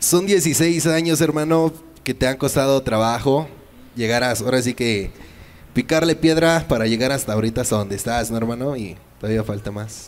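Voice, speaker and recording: This man talks at a moderate pace in a medium pitch with a Mexican accent and lively intonation. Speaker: show co-host. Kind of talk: casual interview. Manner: animated. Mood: friendly, casual. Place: studio. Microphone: handheld.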